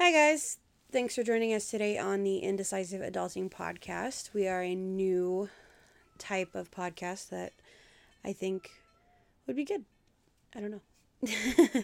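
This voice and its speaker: At a fairly slow pace, a woman with an American accent speaks with long, frequent pauses. Her pitch is medium, with ordinary variation. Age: 30s. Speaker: podcast co-host. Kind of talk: casual chat.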